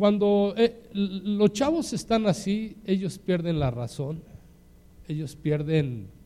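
A man with a Mexican accent speaks at a very slow pace. His tone is dark and mellow, his intonation lively. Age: 60s. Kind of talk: sermon.

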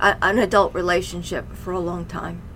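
A woman talks at a fairly slow pace. Noticeable background noise runs beneath her. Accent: American. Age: 50s. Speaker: mother of podcast host, mental health guest. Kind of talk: personal testimony.

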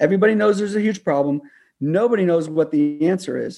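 A man's dark, mellow tone at a fairly quick pace, with ordinary pitch variation and a quiet background. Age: 50s. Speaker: climate policy advocate. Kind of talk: radio interview. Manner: animated.

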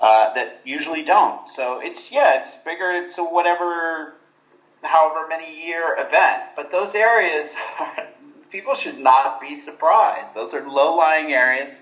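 With audible room echo around him, a man with an American accent talks at a fairly slow pace and a fairly high pitch, his pitch varying in an ordinary way and his loudness swinging widely. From Texas, Houston. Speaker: literature professor. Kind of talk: interview.

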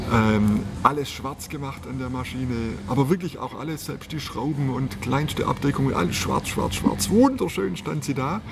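A man talks at a moderate pace in a medium pitch with lively intonation. Noticeable background noise runs underneath. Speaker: motorcycle salesman. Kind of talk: casual interview. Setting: motorcycle store. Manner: animated.

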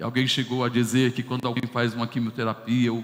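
A man speaks with a medium-pitched voice. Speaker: pastor. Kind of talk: sermon.

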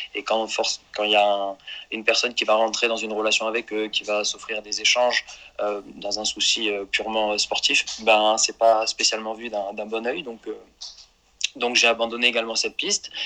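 Moderate pace, monotone and flat intonation, from a man at a medium pitch. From Marseille, southern France. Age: 30s. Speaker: mental performance coach, former amateur footballer. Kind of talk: podcast interview. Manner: halting, many repetitions.

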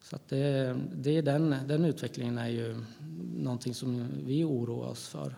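A man with an unremarkable speaking voice talks at a fairly slow pace in a medium pitch with ordinary pitch variation. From Gävle, Sweden. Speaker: politician. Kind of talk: interview.

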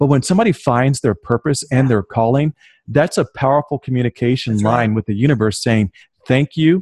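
A man with an American accent speaks fairly quickly at medium pitch, somewhat breathy, with ordinary pitch variation. His loudness stays very even, and the sound is dry and close with no echo. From US South, southern Virginia. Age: 30s. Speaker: author and business owner. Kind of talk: interview.

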